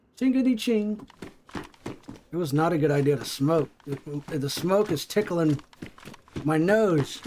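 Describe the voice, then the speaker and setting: Amid noticeable background noise, a high-pitched man with a strong Appalachian accent speaks at a fairly slow pace with lively intonation and long, frequent pauses. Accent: thick Appalachian. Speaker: gaming streamer. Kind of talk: casual livestream chat. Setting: live stream while gaming.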